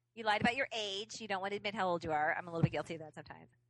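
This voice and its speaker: A woman speaks very fast with lively intonation. Her tone is bright and sharp at a medium pitch. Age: 40s. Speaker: podcast co-host. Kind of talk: casual chat.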